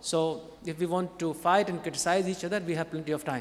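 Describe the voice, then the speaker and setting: Over noticeable background noise, a man talks in a high pitch. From India. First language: not English. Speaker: conference panelist. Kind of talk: panel Q&A answer; conference presentation. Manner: halting.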